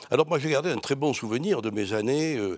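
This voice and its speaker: A man speaks with a slight Marseille accent. The recording is very clean, with a silent background. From France, Marseille. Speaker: priest and historian. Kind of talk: interview. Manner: halting.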